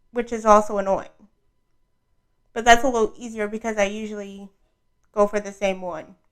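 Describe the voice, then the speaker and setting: A fairly high-pitched woman's voice in an American accent, flat and monotone, at a fairly quick pace with long, frequent pauses. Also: big swings in loudness. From New York City (Brooklyn). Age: 20s. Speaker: podcast host. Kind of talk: casual monologue. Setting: audio-only podcast recording. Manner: soft-spoken.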